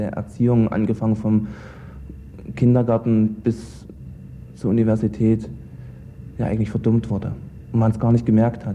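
A man speaks at a moderate pace in a medium-pitched voice with a dark, mellow tone and ordinary pitch variation. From East Germany. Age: 20s. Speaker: former judge. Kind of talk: interview.

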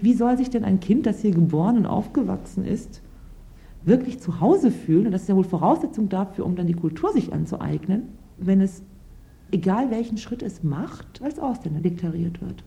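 At a moderate pace, a woman with an ordinary speaking voice talks at a medium pitch with lively intonation. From Lower Saxony, Germany, Turkish family. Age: 30s. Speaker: lawyer. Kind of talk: interview testimony.

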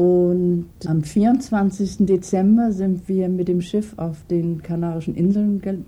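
With a dark, mellow tone and a somewhat breathy quality, a woman speaks at a medium pitch. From Germany (Hamburg). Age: old. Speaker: retired cook. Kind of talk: interview.

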